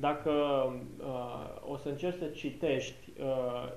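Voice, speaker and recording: A man's medium-pitched voice amid noticeable background noise and audible room echo. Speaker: interpreter. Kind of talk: consecutive interpretation of a Bible study. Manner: hesitant with filler sounds.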